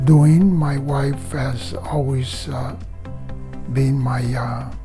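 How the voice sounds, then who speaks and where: A man talks at a fairly high pitch. Music sounds behind him. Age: 70s. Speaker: patient giving a testimonial. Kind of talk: interview answer. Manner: hesitant, many filler pauses.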